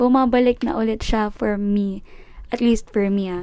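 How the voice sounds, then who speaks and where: A woman speaks very slowly at a fairly high pitch. Her tone is dark and mellow. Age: 20s. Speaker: podcast host. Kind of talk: casual monologue. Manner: halting.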